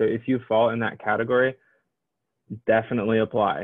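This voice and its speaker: Speaking at a moderate pace over a quiet background, a man talks in a Midwestern US accent. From Illinois. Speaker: admissions counselor. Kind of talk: informational presentation. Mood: friendly, encouraging. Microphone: webcam.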